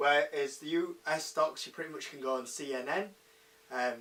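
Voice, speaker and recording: Bright and sharp in tone, a man talks with a British accent. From UK. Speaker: investing YouTuber. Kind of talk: casual talk to camera. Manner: hesitant, many fillers.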